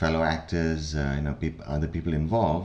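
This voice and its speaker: A man's very deep, low-pitched voice. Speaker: film and voice actor. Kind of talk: podcast interview answer. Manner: hesitant, many fillers.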